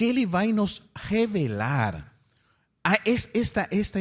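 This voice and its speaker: A man with a non-native accent, very slow, with very wide pitch swings. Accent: foreign accent in Portuguese. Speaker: spiritist lecturer. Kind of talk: lecture.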